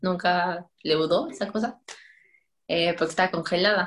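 A woman's plain, everyday voice, fairly low in pitch, ordinary pitch variation, fairly slow pace. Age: 20s. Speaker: pastry chef. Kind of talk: casual chat.

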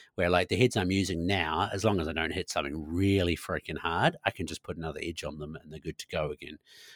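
Talking at a very fast pace with hardly any pauses, a man with a New Zealand accent uses a very deep, low pitch, fairly even intonation and big swings in loudness, in a dry, close sound with no echo. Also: very clean recording, silent background. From New Zealand, Nelson. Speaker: bow hunting guide and content creator. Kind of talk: casual chat.

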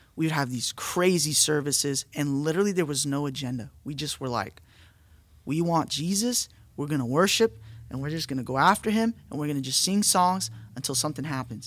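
A man talks at a fairly quick pace with lively intonation and a fairly high pitch. The recording is very clean, with a silent background. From Orange County, California. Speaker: pastor. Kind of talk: casual podcast interview about faith. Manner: animated.

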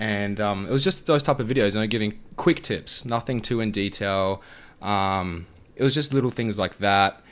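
A man speaks at a moderate pace with an Australian accent and a fairly low pitch. His pitch varies in an ordinary way, and the recording is very clean with a silent background. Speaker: food and fitness content creator. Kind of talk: casual chat. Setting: podcast recording.

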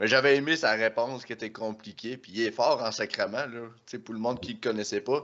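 Medium-pitched male voice at a moderate pace, with ordinary pitch variation and big swings in loudness. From Quebec, Bas-Saint-Laurent. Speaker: podcast host, powerlifter. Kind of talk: sponsor read; casual chat. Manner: animated.

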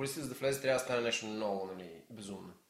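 This man's fairly low voice shows ordinary pitch variation, with audible room echo around it. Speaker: podcast guest. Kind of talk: casual chat.

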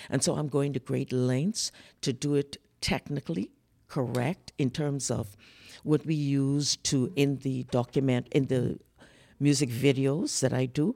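A woman with a very deep, low, dark, mellow voice talks at a fairly slow pace in a Bahamian accent with fairly even intonation. The recording is very clean, with a silent background and a dry, close sound with no echo. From The Bahamas. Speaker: soprano singer, producer and guest. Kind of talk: casual interview conversation.

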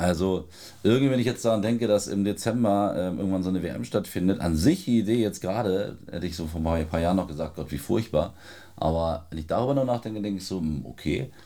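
Very fast and with lively intonation, a man speaks with a very deep, low pitch and a dark, mellow tone. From Lower Saxony, Celle area. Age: 30s. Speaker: football journalist and author. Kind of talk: casual chat. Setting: studio.

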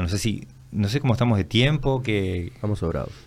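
Here a man talks at a moderate pace. His pitch is fairly low, with ordinary pitch variation. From Uruguay, Minas (Lavalleja). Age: 50s. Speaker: permaculture practitioner. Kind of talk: casual interview.

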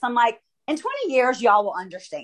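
Speaking in an American accent, a woman keeps a moderate pace at a high pitch. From Dallas, Texas. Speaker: podcast host.

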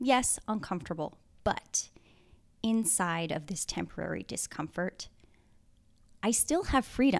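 With very wide pitch swings and vocal fry, a woman speaks at a fairly slow pace, leaving long, frequent pauses. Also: medium pitch for a woman. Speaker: podcast host. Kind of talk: solo podcast monologue. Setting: home apartment. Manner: calm, reflective.

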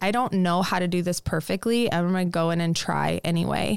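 On a very clean recording with a silent background, a woman speaks in a normal speaking voice with an American accent, fairly low in pitch, fairly quick, and with fairly even intonation. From Nebraska, US (Lincoln). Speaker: yoga teacher and studio founder. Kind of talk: interview conversation.

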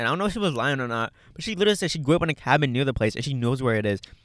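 A loud man at a very fast pace, with very wide pitch swings. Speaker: podcast co-host. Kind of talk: casual chat. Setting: in a car.

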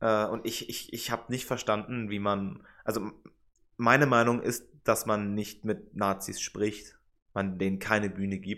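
A man with a plain, everyday voice, fairly low-pitched and fairly slow, with fairly even intonation, on a very clean recording over a silent background. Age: 20s. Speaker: political science student and podcast co-host. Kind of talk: casual chat.

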